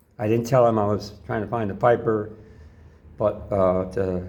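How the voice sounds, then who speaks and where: With an American accent, a man speaks at a moderate pace and fairly even intonation while audible room echo surrounds him. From New York. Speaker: pastor. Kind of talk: personal testimony. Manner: casual, rambling.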